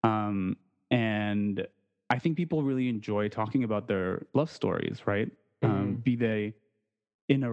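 A man's unremarkable speaking voice at a medium pitch, with ordinary pitch variation at a moderate pace, in a dry, close sound with no echo. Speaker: podcaster. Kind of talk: casual chat.

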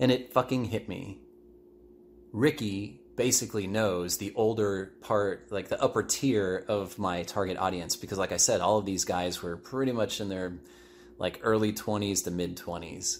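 An ordinary speaking voice from a man, fairly low in pitch, with ordinary pitch variation, a moderate pace, and a very clean recording with a silent background. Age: 40s. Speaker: podcast host. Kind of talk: solo monologue. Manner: casual, filler-heavy.

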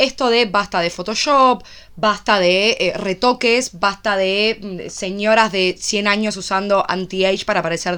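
A woman's bright, sharp voice with a Rioplatense accent. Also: very clean recording, silent background. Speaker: podcast co-host. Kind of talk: casual chat.

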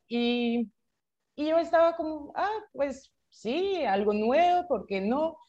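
Very slowly, a woman speaks with lively intonation. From France. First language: French (speaking Spanish). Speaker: startup founder. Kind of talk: interview. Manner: halting, many repetitions.

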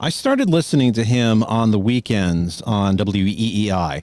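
Recorded very cleanly against a silent background, a man uses a normal speaking voice at medium pitch with lively intonation. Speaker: former podcast content creator. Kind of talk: casual interview.

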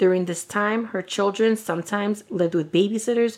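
On a very clean recording with a silent background, a woman talks at a moderate pace with fairly even intonation. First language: Spanish. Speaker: true crime podcast co-host. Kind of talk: casual chat; reading a prepared case narrative.

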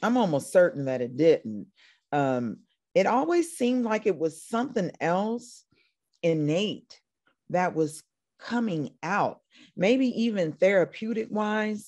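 In an American accent, a woman talks at a very slow pace with very wide swings in pitch. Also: medium pitch for a woman, quiet background. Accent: slight country. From Indiana, US Midwest. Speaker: country singer-songwriter. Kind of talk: casual interview chat.

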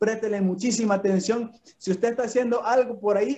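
A high-pitched man with a dark, mellow tone speaks at a moderate pace with fairly even intonation. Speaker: network marketing leader. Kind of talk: speaker introduction.

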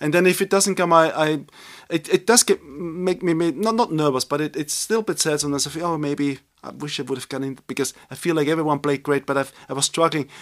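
A man with a German accent at a fairly high pitch, very fast, with ordinary pitch variation and a dry, close sound with no echo. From Upper Austria. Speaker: jazz pianist. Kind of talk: casual interview.

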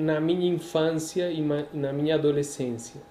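This man speaks with a Spanish accent at a fairly slow pace. His pitch is high for a man. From Colombia, Medellín. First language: Spanish (speaking Portuguese). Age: 40s. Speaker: priest. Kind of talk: casual interview.

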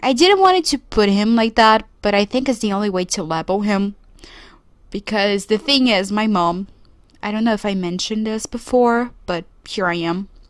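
At a moderate pace, a woman with a Portuguese accent speaks at a fairly high pitch with ordinary pitch variation. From Brazil. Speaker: podcast host. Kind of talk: solo podcast monologue. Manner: casual, conversational.

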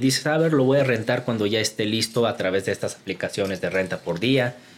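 This man's intonation is lively, and his pitch sits in the middle range. He speaks with a Korean accent. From Guatemala. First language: Korean (speaking Spanish). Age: 20s. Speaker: YouTuber and entrepreneur. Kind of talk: casual chat.

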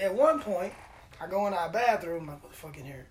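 Against noticeable background noise, a man speaks in an animated tone at a high pitch. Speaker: podcast host. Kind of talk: casual banter, crude comedic chat. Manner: animated, joking.

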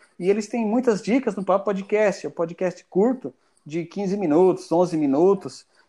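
With a high pitch and a dark, mellow tone, a man talks with ordinary pitch variation. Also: moderate pace, quiet background. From Brazil, Mato Grosso do Sul (Ponta Porã, Paraguay border). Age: 30s. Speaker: software developer, English learner. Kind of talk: casual interview chat.

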